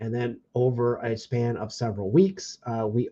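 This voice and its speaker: A man talks at a moderate pace and medium pitch, with a dark, mellow tone that is somewhat breathy. The sound is dry and close, with no echo. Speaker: card break livestream host. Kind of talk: livestream hosting.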